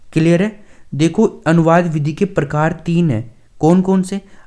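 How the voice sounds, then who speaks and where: This man's voice sits high, and its pitch rises and falls in a normal way. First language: Dhundhari (speaking Hindi). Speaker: online exam-prep teacher. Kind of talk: lecture.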